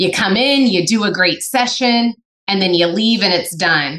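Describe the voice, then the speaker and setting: A woman talks at a fairly quick pace in an animated tone, bright and sharp. Her pitch is medium, with ordinary variation. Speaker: business coach and consultant. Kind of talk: casual interview. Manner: loud, direct, animated.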